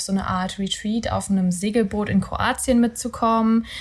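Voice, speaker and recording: Her voice is somewhat breathy, a woman's medium pitch delivered with monotone, flat intonation. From Rhineland, Germany (near Cologne). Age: 20s. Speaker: podcast co-host, virtual assistant. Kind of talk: casual chat. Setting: home bedroom recording.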